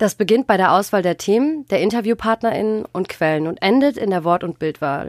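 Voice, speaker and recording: With a dry, close sound and no echo, a woman has an ordinary speaking voice at medium pitch and talks at a fairly quick pace. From Germany, Ruhr area. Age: 20s. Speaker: journalism student and podcast co-host. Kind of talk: casual chat.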